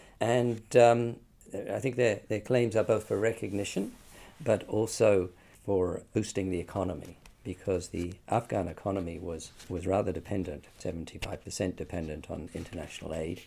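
In a New Zealand accent, a man with a fairly low pitch and a dark, mellow tone talks at a moderate pace with ordinary pitch variation on a very clean recording with a silent background. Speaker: UN human rights expert. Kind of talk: interview. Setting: studio.

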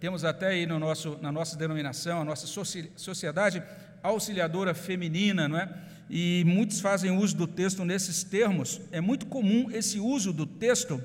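In a room with audible echo, a man speaks in a Brazilian accent, his pitch high with ordinary variation. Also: moderate pace. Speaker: pastor. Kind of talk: sermon.

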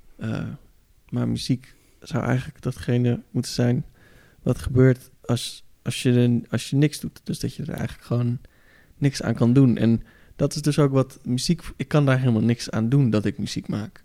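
The man's tone is dark and mellow. His voice sounds dry and close, without any echo. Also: medium pitch for a man, ordinary pitch variation, moderate pace. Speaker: podcast host. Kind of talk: casual chat. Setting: studio. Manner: animated.

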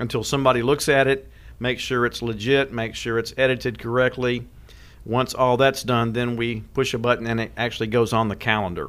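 With a Tennessee accent, a man talks in a fairly even intonation. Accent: Southern US (Tennessee). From West Tennessee. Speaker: tourism director. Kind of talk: interview.

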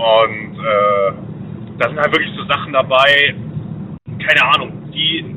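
A man is heard over noticeable background noise. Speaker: caller. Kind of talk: casual chat. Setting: phone call.

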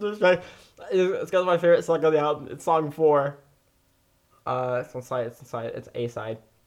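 Ordinary pitch variation at a moderate pace, with long, frequent pauses. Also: man, fairly high pitch for a man. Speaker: podcast host. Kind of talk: casual banter. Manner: joking.

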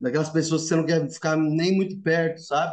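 High pitch from a man, ordinary in its pitch variation. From São Paulo city. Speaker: agronomist, former student house resident. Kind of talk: casual chat, storytelling.

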